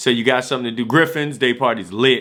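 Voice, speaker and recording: A man's animated, fairly quick speech at medium pitch in an American accent, with ordinary pitch variation. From Washington DC. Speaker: vlogger. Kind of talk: casual vlog talk. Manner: fast, animated.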